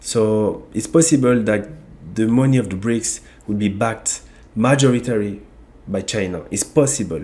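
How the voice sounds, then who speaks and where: A man speaks with a French accent and a dark, mellow tone. His pace is moderate. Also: medium pitch for a man, ordinary pitch variation. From France (Ivorian origin). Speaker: YouTube channel host on African economics. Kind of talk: online video monologue. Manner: halting, with repetitions.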